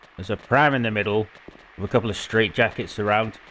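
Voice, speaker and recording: Words come out fairly quickly. They are spoken in a British accent. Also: man. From Britain. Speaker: video game walkthrough creator. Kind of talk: gameplay commentary. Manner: casual, chatty.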